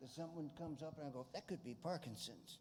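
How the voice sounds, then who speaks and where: Somewhat breathy and dark, mellow in tone, a man speaks at a fairly quick pace with ordinary pitch variation. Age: 60s. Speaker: audience member. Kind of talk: audience question.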